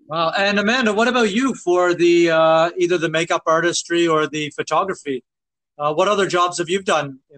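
In a Maritime Canadian accent, a man with a high pitch speaks at a moderate pace with ordinary pitch variation, the sound dry and close with no echo. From Nova Scotia, Canada. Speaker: podcast host. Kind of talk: scripted intro and casual interview.

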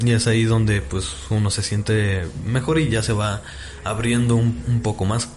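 In a Mexican accent, a man of medium pitch speaks at a fairly slow pace with ordinary pitch variation and very even loudness, amid noticeable background noise and audible room echo. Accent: Mexican Spanish (Jalisco). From Mexico, Guadalajara (Jalisco). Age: 20s. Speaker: nanotechnology student. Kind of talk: casual interview.

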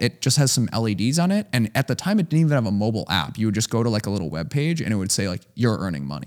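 Speaking very fast with hardly any pauses, a man with an American accent uses a medium pitch and very wide pitch swings, on a very clean recording with a silent background. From US Midwest, Chicago. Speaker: hardware startup founder. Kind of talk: casual interview.

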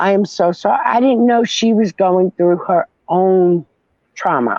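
In a normal speaking voice, a woman of medium pitch speaks at a moderate pace with lively intonation. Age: 50s. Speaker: podcast guest, survivor and mother. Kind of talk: casual personal interview, telling her story.

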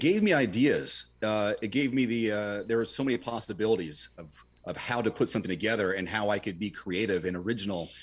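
A man with an American accent talks at a very fast pace. His pitch is fairly low, with ordinary variation. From Washington state, US. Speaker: car reviewer and former TV news anchor. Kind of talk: casual interview chat. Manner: polished, trained broadcaster delivery.

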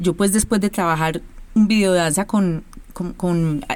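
Medium-pitched female speech in a plain, everyday voice, its pitch varying in an ordinary way. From Colombia, Medellín. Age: 40s. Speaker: choreographer and dance company director. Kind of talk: interview.

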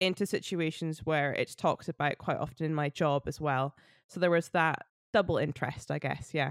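Moderate pace in a Scottish accent, with a dry, close sound and no echo. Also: woman, very clean recording, silent background. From Scotland. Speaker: folk musician. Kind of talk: casual interview chat.

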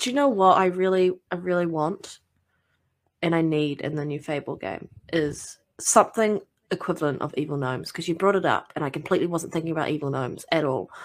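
On a very clean recording with a silent background, a woman speaks at a fairly quick pace with ordinary pitch variation. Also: fairly low pitch for a woman. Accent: New Zealand. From New Zealand. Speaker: guest gamer. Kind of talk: casual chat.

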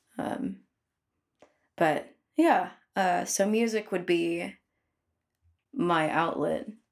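Fairly low-pitched with vocal fry, a woman with an American accent speaks with lively intonation. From US Pacific Northwest, Filipino American family. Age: 20s. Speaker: musician and podcast co-host. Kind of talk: casual interview conversation.

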